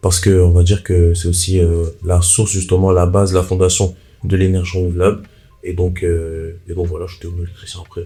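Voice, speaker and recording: Amid noticeable background noise, a man with a very deep, low pitch speaks at a fairly quick pace in a monotone, flat intonation, with big swings in loudness. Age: 20s. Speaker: electrician and content creator. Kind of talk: casual podcast interview.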